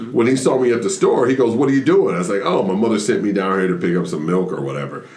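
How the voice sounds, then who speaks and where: A man's pitch swings very widely. There is audible room echo and noticeable background noise. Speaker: stand-up comedian. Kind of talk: casual chat.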